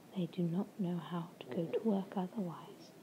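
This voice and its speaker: A woman speaks in a soft-spoken, somewhat breathy voice with a calm tone. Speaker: ASMR reader. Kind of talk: audiobook-style reading of a novel chapter for relaxation. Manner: soft-spoken, calm, ASMR.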